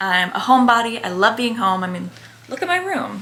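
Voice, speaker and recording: A woman with an American accent speaks at a fairly quick pace in an animated tone, her fairly high pitch making very wide swings, amid noticeable background noise and audible room echo. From New Jersey, Bergen County. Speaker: lifestyle and fitness content creator. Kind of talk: casual Q&A chat to camera. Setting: at home in her bedroom. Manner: animated, chatty.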